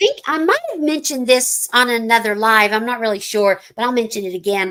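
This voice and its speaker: With an American accent, a woman speaks at a fairly quick pace. Her voice is squeaky and fairly high-pitched. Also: ordinary pitch variation. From US Midwest, Chicago northwest suburbs. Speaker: retired school counselor. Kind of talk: casual chat. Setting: live stream.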